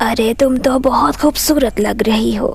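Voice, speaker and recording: A cartoonish character voice, female-sounding and fairly high-pitched, moves at a moderate pace over clear music in the background. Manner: sly, teasing, self-admiring.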